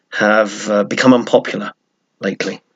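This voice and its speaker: A man talks with an English accent. His pace is moderate. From England. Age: old. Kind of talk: casual talk to camera.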